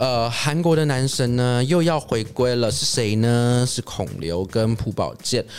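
A man at a very slow pace with lively intonation. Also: very clean recording, silent background. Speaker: entertainment podcast host. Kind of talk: casual solo chat about movies. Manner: hesitant, many filler sounds.

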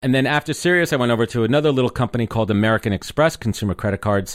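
A man with a New York accent speaks at a very fast pace with lively intonation. The recording is very clean, with a silent background. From New York (Brooklyn, Long Island suburbs). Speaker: podcaster and marketer. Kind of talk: interview conversation.

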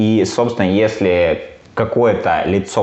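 A man speaks while noticeable background noise can be heard. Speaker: podcast co-host. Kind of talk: casual chat. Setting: recorded in an apartment.

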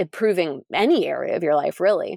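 A woman speaks with an American accent at a moderate pace and medium pitch. It is an ordinary speaking voice, with a dry, close sound and no echo. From Pennsylvania. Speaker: RV traveler and homeschooling mom. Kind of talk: casual interview.

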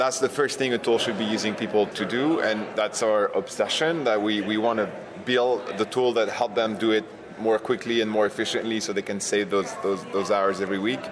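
Amid noticeable background noise, a man with a French accent talks at a fairly quick pace. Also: medium pitch for a man. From France. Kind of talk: interview. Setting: conference venue.

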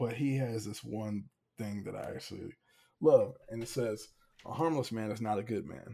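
The voice is somewhat breathy, with a dark, mellow tone. It carries an American accent. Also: man. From Hampton, Virginia. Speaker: former college quarterback. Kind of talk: casual interview chat. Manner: animated.

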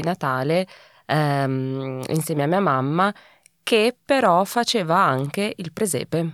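A woman with a fairly low pitch and lively intonation uses an unremarkable speaking voice, recorded very cleanly against a silent background with a dry, close sound and no echo. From Italy. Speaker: recurring podcast guest. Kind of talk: casual chat.

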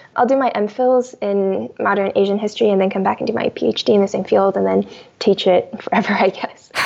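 Clearly audible noise sits behind a voice that moves along rather briskly. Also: woman. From US, immigrated from China as a child. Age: 20s. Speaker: novelist. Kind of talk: interview. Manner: fast.

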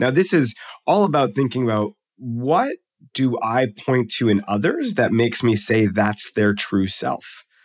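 An unremarkable speaking voice with lively intonation and very even loudness, on a very clean recording with a silent background. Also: man, medium pitch for a man, fairly slow pace. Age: 40s. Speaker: psychology professor and author. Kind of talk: interview.

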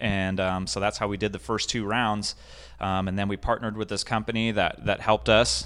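On a very clean recording with a silent background, a man with an American accent talks fairly quickly at a fairly low pitch, with vocal fry and ordinary pitch variation. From Southern California (Escondido). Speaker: off-road gear business owner. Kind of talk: casual interview. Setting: in his shop.

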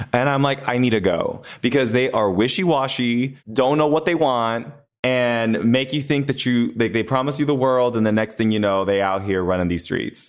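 A man with an American accent and a normal speaking voice talks at a moderate pace and medium pitch, with ordinary pitch variation, very even loudness and hardly any pauses. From Los Angeles. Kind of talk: casual chat.

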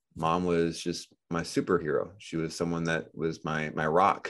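The man's pitch is very deep and low, and the background stays quiet. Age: 30s. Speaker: financial education business owner. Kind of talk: interview. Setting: podcast interview.

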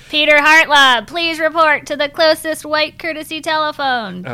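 Put-on character voice, high in pitch, raised and projected, at a moderate pace. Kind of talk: formal, flat, public address.

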